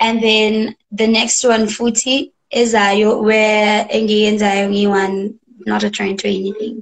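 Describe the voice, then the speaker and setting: A woman speaks very slowly at a fairly high pitch. Her intonation is monotone and flat against a quiet background. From South Africa. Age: young. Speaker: singer-songwriter. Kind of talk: interview answer. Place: home room. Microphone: video call.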